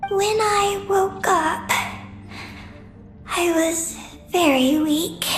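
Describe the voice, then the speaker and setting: A female-sounding put-on character voice speaks at an extremely high pitch and a very slow pace. Clear music plays in the background. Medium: machinima. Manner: halting, terse fragments with panting breaths.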